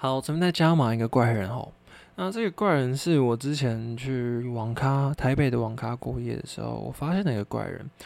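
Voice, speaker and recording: In a very clean recording with a silent background, a man speaks at a moderate pace and a medium pitch, in a plain, everyday voice with ordinary pitch variation. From Taiwan. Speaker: podcast host. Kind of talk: casual solo chat.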